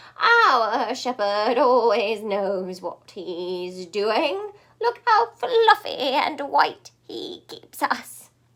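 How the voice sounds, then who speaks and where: In a put-on character voice, a woman speaks high-pitched at a very slow pace with hardly any pauses. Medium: read story. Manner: dismissive, complacent.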